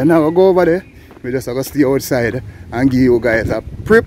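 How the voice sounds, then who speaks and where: Over noticeable background noise, the speaker keeps a moderate pace and ordinary pitch variation. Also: man. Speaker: travel vlogger. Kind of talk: walking vlog narration. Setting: outdoors, walking in town. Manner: animated.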